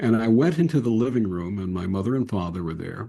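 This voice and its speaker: Lively intonation marks this man's very fast speech. His tone is dark and mellow, somewhat breathy, against a quiet background. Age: 70s. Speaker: interfaith minister and podcast host. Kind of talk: interview conversation.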